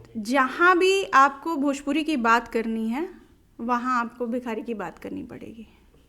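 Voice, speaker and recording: A woman speaks in a raised, projected voice, high-pitched with a bright, sharp tone, lively intonation and big swings in loudness. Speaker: Bhojpuri folk singer. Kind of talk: interview answer.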